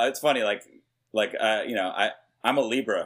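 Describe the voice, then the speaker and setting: Talking at a fairly quick pace, a man has an ordinary speaking voice with an American accent and ordinary pitch variation. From New York. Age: 40s. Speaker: hip hop producer. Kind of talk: casual interview.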